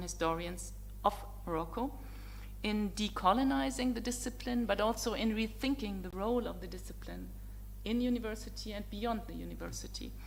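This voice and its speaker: Speaking in a German accent, a woman keeps a moderate pace. Noticeable background noise and audible room echo accompany her. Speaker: professor. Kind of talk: academic opening talk. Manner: formal.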